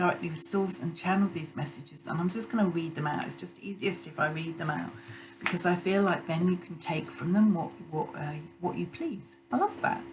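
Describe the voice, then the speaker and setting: Noticeable background noise and audible room echo accompany a woman talking. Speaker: intuitive healer and psychic channeler. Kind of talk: spiritual channeling live stream. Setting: Instagram live stream, also recorded. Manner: halting, many fillers and restarts.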